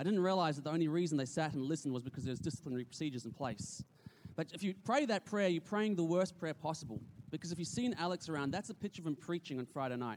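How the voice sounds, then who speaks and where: A man with an Australian accent, very fast pace and fairly high pitch. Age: 30s. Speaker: youth pastor. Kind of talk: church presentation. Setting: stage with audience.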